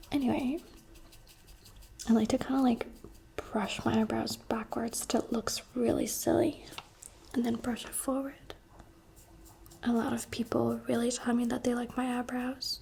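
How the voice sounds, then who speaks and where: Someone soft-spoken talks at a moderate pace with long, frequent pauses over noticeable background noise. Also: woman. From Abu Dhabi, UAE. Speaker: ASMR creator and streamer. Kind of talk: soft-spoken get-ready-with-me chat. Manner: casual, rambling.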